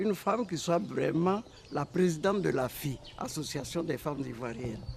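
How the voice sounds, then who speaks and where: A woman speaks at a fairly low pitch. Her pitch swings very widely. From Ivory Coast, Oumé. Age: 80s+. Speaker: retired politician and businesswoman. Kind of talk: interview testimony.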